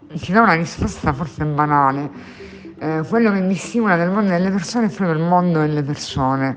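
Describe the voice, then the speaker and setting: Here a woman speaks at a fairly quick pace and fairly low pitch with ordinary pitch variation. Noticeable background noise runs underneath. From Sicily (Catania). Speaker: bookshop owner. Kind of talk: interview. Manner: halting, many fillers and repetitions.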